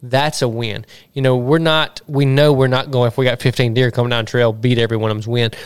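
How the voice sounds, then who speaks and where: At a fairly quick pace, a man speaks with a medium pitch and fairly even intonation. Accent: Mississippi. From US South, Southwest Mississippi. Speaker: podcast host and hunting land real estate agent. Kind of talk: casual interview chat. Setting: outdoors in the sun.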